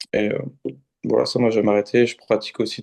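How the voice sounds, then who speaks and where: Monotone, flat intonation carries a man's dark, mellow tone. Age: 20s. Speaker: car salesman, coaching client. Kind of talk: testimonial interview. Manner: halting.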